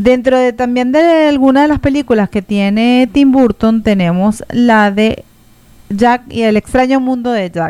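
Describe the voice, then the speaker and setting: A woman speaks in a high pitch at a fairly slow pace. Her pitch varies in an ordinary way. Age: 40s. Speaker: radio host. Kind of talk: scripted narration.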